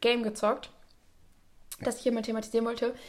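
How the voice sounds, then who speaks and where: An animated voice races along at a very fast pace. The recording is very clean, with a silent background. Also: woman. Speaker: podcast host. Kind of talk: casual chat. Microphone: new microphone setup.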